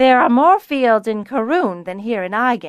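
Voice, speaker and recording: A woman's put-on character voice, fairly high in pitch and lively in intonation, at a moderate pace on a very clean recording with a silent background. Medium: read story. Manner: measured, deliberate.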